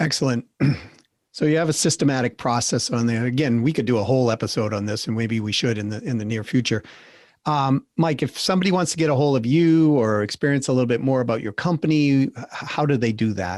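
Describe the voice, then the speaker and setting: On a very clean recording with a silent background, a man talks very fast in a Boston accent. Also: medium pitch for a man, ordinary pitch variation. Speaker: podcast host. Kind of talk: interview.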